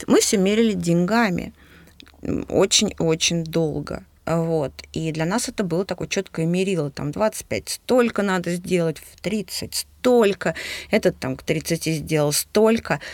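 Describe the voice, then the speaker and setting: Speaking at a very slow pace, a woman with a fairly low voice and ordinary pitch variation makes big swings in loudness, recorded very cleanly against a silent background. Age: 40s. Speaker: businesswoman, podcast co-host. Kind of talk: casual chat.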